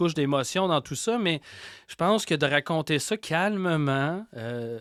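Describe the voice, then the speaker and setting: In a Quebec accent, a man speaks at a fairly slow pace and a fairly high pitch on a very clean recording with a silent background. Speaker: podcaster and horror storyteller. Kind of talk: interview conversation. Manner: hesitant, repeats words.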